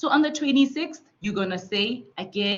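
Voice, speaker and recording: Somewhat breathy, a woman speaks with lively intonation. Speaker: student support facilitator. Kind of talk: online tutorial.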